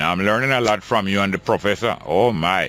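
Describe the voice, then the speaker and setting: Noticeable background noise sits behind this voice. A man speaks at a fairly low pitch. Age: 60s. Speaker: radio talk show host. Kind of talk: call-in radio show.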